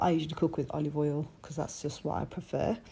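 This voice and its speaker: Her voice has a dark, mellow tone as the woman speaks. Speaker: home cook. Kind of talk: recipe tutorial voiceover.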